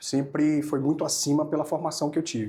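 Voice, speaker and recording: This man's fairly high voice is dark and mellow in tone and somewhat breathy. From Brazil, Amazonas state. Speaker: oral and maxillofacial surgeon. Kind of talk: podcast interview. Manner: hesitant, with many fillers and repetitions.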